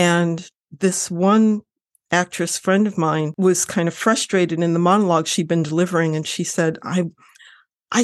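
A woman with an unremarkable speaking voice talks at a fairly low pitch and moderate pace, with ordinary pitch variation over a quiet background. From Lorain, Ohio. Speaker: novelist. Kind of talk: interview.

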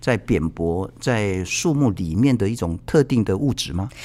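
A man's pitch swings very widely as he speaks fairly slowly. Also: very clean recording, silent background. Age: 50s. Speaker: podcast host. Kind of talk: casual interview.

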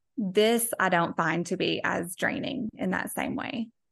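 Against a quiet background, a woman with vocal fry speaks at a moderate pace using ordinary pitch variation. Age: 40s. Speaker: social media content creator. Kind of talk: casual interview chat.

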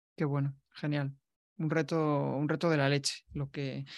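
Over a quiet background, a man speaks at a fairly high pitch with a monotone, flat intonation. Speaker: podcast host. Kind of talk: interview conversation. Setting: video call. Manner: halting, many repetitions.

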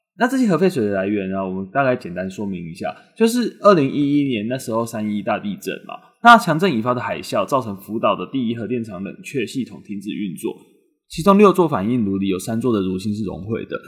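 Talking at a very fast pace, a man has a medium pitch. His intonation is lively. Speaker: news podcast host. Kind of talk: news commentary podcast. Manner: stumbling over words.

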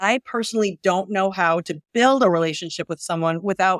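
A woman with a plain, everyday voice talks at a medium pitch and moderate pace with ordinary pitch variation, in a very clean recording with a silent background and a dry, close sound with no echo. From US Midwest, Northwest Indiana. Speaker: financial services CEO. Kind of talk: interview.

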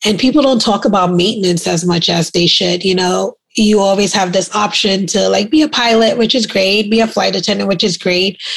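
With a slight New York accent, a woman talks at a fairly quick pace with hardly any pauses. Her medium pitch varies in an ordinary way, and her loudness stays very even. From Brooklyn, New York (born in Trinidad). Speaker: aircraft maintenance apprentice. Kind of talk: casual chat.

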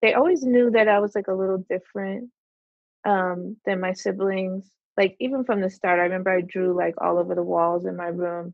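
With an American accent, a woman uses a plain, everyday voice at a medium pitch, speaking at a fairly quick pace with fairly even intonation. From New Jersey. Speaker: artist. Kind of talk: casual interview.

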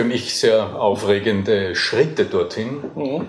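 Medium-pitched male voice with lively intonation and audible room echo. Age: 50s. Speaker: voice coach. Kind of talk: interview. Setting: hotel.

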